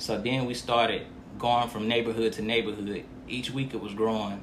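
A man with an American accent speaks at a moderate pace in a medium pitch, his intonation flat and monotone, with audible echo in the room. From Montgomery County, North Carolina. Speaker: nonprofit founder, former inmate. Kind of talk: interview.

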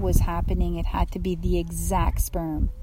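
With audible room echo and noticeable background noise, the talking proceeds at a moderate pace. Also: woman. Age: 50s. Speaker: spiritual podcast host. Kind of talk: casual devotional chat. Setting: outdoors on a beach.

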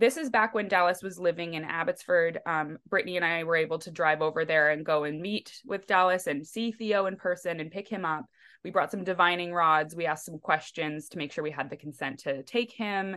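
A woman with a Canadian accent, fairly low-pitched, bright and sharp in tone, at a fairly quick pace with hardly any pauses, ordinary pitch variation, and a quiet background. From western Canada, near Vancouver. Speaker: psychic medium. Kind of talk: casual interview chat. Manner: mellow.

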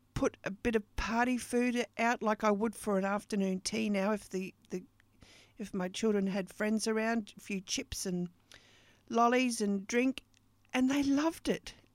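A woman with an Australian accent, fairly high in pitch, at a fairly slow pace with ordinary pitch variation, in a dry, close sound with no echo and a very clean recording over a silent background. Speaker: podcast host and business coach. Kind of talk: casual monologue.

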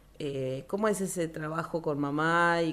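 A woman speaks at a moderate pace. Her pitch is very deep and low. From Argentina, Río Gallegos (Santa Cruz). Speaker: radio host. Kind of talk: radio interview.

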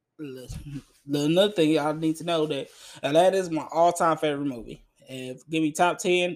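This is a man with a plain, everyday voice. He talks at a fairly quick pace with a fairly high pitch and fairly even intonation. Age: 20s. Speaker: movie review podcaster. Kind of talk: solo movie review monologue. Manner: casual, conversational.

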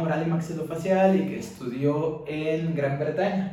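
A man's fairly high-pitched voice with fairly even intonation, audible room echo and noticeable background noise. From Mexico. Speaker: dentist, dental student. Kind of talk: casual interview chat.

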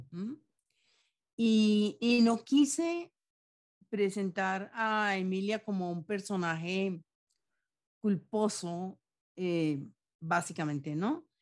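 Lively intonation comes at a very slow pace with long, frequent pauses. The recording is very clean with a silent background. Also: woman, medium pitch for a woman. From Colombia, Antioquia. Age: 70s. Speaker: novelist and poet. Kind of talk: interview.

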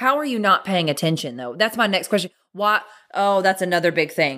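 A loud woman's voice, medium in pitch, bright and sharp in tone, with a Southern US accent. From Clarksville, Tennessee. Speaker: podcast host. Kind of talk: casual chat. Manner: loud, animated.

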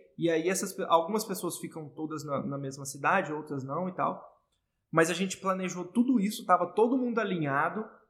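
Fairly quick and high-pitched, a man talks with ordinary pitch variation. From Brazil, Goiás. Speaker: entrepreneur, business partner. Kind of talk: casual interview.

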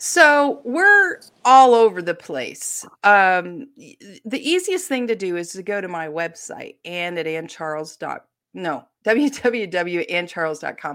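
Very slow and marked by very wide pitch swings, a woman's medium-pitched voice has a bright, sharp tone and an American accent, recorded very cleanly against a silent background. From Ohio, US. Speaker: mystery novelist. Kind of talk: casual interview.

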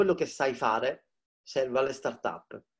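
At a moderate pace, a man talks in an ordinary speaking voice with lively intonation. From Palermo, Sicily. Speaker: digital marketing expert and startup mentor. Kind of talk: casual interview chat. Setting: video call from home. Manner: informal, chatty, jokes.

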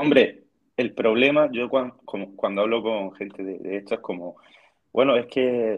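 In a normal speaking voice, a man moves at a fairly quick pace with ordinary pitch variation. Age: 20s. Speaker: dietitian and fitness student. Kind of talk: casual chat.

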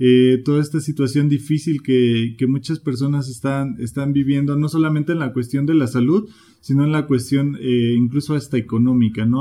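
An ordinary speaking voice from a man, fairly high-pitched, with fairly even intonation and a moderate pace. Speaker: podcast host. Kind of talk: interview.

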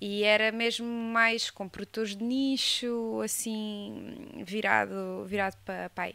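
Speaking at a very slow pace with hardly any pauses, a woman uses a fairly high pitch and fairly even intonation. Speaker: geographer working in wine marketing. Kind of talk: casual chat.

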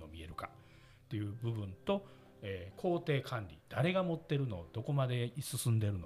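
Somewhat breathy and in a Kansai accent, the speaker keeps a moderate pace. Pitch swings very widely, and loudness shifts a lot. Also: man. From Osaka, Japan. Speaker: company president and podcast host. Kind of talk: seminar-style presentation.

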